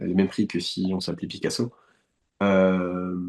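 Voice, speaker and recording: Fairly slow speech over a quiet background. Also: man. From France, west of Paris (Eure-et-Loir, countryside). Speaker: painter. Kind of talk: interview conversation. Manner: hesitant, many fillers and repetitions.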